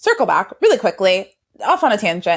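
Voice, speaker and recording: A woman is talking here. Her pace is fairly quick. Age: 30s. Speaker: podcast co-host. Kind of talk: casual chat. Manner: fast; animated.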